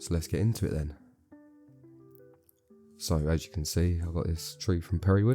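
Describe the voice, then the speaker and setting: With music in the background, a man with a very deep, low pitch speaks at a moderate pace, using ordinary pitch variation and long, frequent pauses. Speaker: bonsai grower. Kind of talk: casual tutorial talk to camera. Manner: casual, hesitant with fillers.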